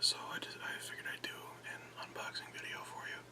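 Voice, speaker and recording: Someone whispers over noticeable background noise. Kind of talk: ASMR unboxing talk. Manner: whispered.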